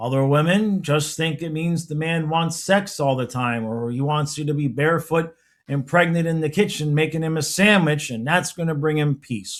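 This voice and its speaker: The speech moves at a fairly slow pace. Its intonation is lively. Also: man. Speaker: relationship advice youtuber. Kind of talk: casual monologue. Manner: sounds irritated even when calm.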